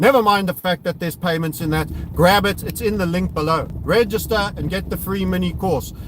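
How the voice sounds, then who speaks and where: This is a man speaking. His intonation is lively. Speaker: crypto trading youtuber. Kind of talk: live stream commentary while driving. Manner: casual, stumbling.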